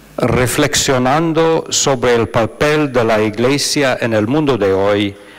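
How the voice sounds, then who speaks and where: Over noticeable background noise and audible room echo, a man speaks very slowly at a medium pitch, with ordinary pitch variation and very even loudness. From US, Philadelphia. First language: English (speaking Spanish). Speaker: monk and theologian, conference speaker. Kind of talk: lecture read from script.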